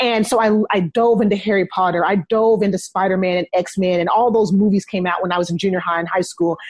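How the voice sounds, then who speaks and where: A woman with an unremarkable speaking voice talks at a fairly quick pace, her medium pitch held in fairly even intonation. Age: 30s. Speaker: social worker and parent coach. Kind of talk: casual chat.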